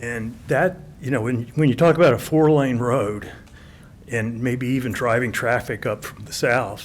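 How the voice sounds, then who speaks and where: With audible room echo around him, a man talks using ordinary pitch variation. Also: medium pitch for a man. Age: 70s. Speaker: retired real estate appraiser speaking at public comment. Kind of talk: public comment at city council meeting. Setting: city council chamber. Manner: fast.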